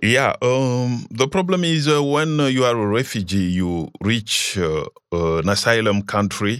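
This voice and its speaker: A man with a Central African accent speaks at a fairly slow pace with lively intonation, in a very clean recording with a silent background. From Congo. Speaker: refugee resettled in US, community helper. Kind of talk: interview, personal story. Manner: halting, with fillers.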